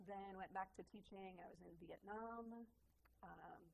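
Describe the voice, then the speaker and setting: A woman's medium-pitched voice in a Minnesota accent, at a fairly slow pace. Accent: Upper Midwest US (Minnesota). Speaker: music teacher, tour guide, artist. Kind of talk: casual interview chat.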